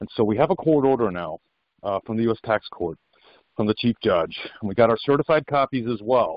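In a normal speaking voice, a man with a medium pitch speaks at a fairly quick pace with lively intonation, the sound dry with no echo. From Colorado. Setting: phone call. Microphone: phone line.

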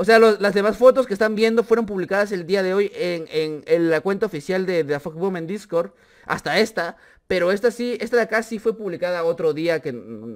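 A man's high-pitched voice with ordinary pitch variation, at a moderate pace, over a quiet background. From Peru. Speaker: gaming YouTuber. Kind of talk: casual vlog commentary. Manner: animated. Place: home room. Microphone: studio mic.

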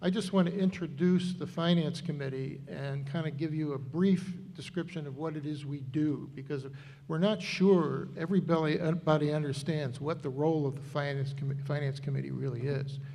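In a room with audible echo, a man talks at a fairly quick pace and a fairly high pitch, his dark, mellow tone somewhat breathy and his intonation fairly even. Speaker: finance committee member. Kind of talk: public meeting presentation. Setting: town meeting hall with microphones.

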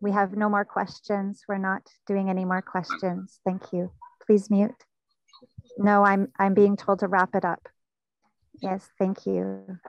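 The speech is monotone and flat, fairly slow, with long, frequent pauses, a dry sound with no echo, and a quiet background. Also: woman. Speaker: festival host. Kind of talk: live event hosting. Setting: outdoors. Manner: slow with pauses. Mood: warm, smiling, grateful. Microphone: earbuds.

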